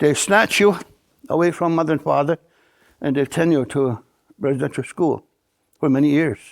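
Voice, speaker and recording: Speaking with a Canadian accent at a moderate pace, a man uses a fairly high pitch and ordinary pitch variation, leaving long, frequent pauses on a very clean recording with a silent background. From Akwesasne Mohawk reservation, New York. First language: Mohawk. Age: 80s+. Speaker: Mohawk elder. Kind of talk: interview answer, oral history.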